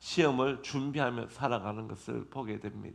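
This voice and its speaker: Moderate pace and fairly even intonation from a man at a medium pitch, with audible room echo. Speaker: pastor. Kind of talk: sermon. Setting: church.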